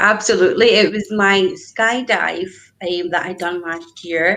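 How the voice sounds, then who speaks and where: In a Scottish accent, a woman with a medium pitch speaks at a fairly slow pace. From Scotland, Glasgow. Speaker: business networker. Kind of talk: casual interview. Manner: animated.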